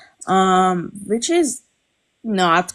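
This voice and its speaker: A woman with a Persian accent uses a fairly low pitch and ordinary pitch variation. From Iran. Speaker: viewer, amateur taxidermist. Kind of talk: casual chat. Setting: live stream.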